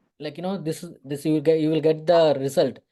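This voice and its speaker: A man with a Tamil Nadu accent speaks at a fairly high pitch. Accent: Tamil Indian English. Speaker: photographer and visual artist. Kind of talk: interview. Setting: online meeting. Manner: halting, many fillers and restarts.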